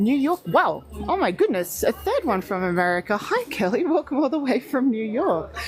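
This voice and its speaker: A woman with an Australian accent and a high pitch, at a moderate pace, with very wide pitch swings, very even loudness and music in the background. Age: 40s. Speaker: travel livestreamer. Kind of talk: live stream walkthrough with chat. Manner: animated.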